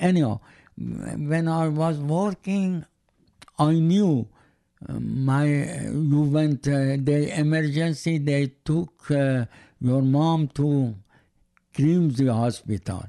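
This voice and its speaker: A man's fairly high, dark and mellow voice in an Iranian accent, very slow with long, frequent pauses, ordinary pitch variation, very even loudness, and a dry, close sound with no echo. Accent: Iranian (Persian) accent in English. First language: Persian. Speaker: host's father. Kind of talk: casual family interview. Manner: halting, broken English.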